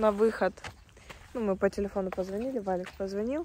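A woman's voice sounds dry with no echo, while loud background noise plays behind her. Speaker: vlogger. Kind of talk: casual vlog chat.

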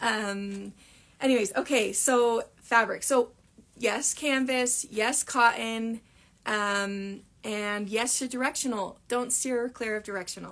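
This woman's voice shows ordinary pitch variation. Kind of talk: live Q&A tutorial chat. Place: workshop. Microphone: phone near.

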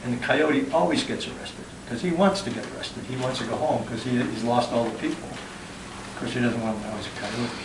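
A man talks at a very fast pace. Noticeable noise sits in the background. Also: ordinary pitch variation. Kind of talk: informal explanation to a group. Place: home room.

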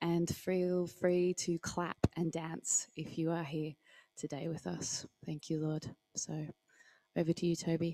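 Speaking at a fairly slow pace, a woman uses a fairly low pitch, a dark, mellow tone and monotone, flat intonation. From Australia. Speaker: service co-host. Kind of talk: church service hosting and prayer. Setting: church hall, livestreamed. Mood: calm, prayerful. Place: church. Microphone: handheld.

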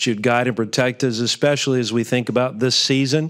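The background is quiet. A man talks in a monotone, with flat intonation. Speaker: pastor giving invocation. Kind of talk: prayer. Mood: calm, reverent. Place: hall. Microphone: podium.

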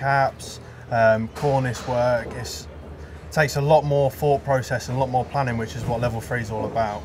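A man's medium-pitched voice with noticeable background noise. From Yorkshire. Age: 20s. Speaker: apprentice stonemason. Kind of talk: interview.

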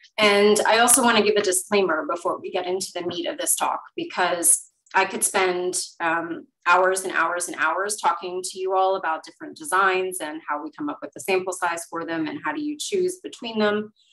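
A woman speaks at a moderate pace with lively intonation against a quiet background. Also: big swings in loudness. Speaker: webinar presenter. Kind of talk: lecture. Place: home room. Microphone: webcam.

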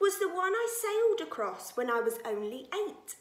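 A woman speaks in an animated, warm tone, sing-song with very wide pitch swings. Audible room echo surrounds her voice. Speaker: nursery teacher. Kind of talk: reading poems aloud to young children, playful storytelling performance. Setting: video message to pupils. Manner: animated, expressive, sing-song with teacher-like clarity; warm, cheerful, gently paced for small children. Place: home room. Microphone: phone near.

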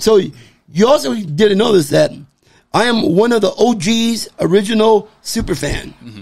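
Against a quiet background, a man with a high voice uses lively intonation and big swings in loudness. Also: fairly slow pace. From Southern California, Baldwin Park; California. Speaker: sports superfan; podcast guest. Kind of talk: casual chat. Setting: man cave. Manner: outspoken. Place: home room. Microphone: studio mic.

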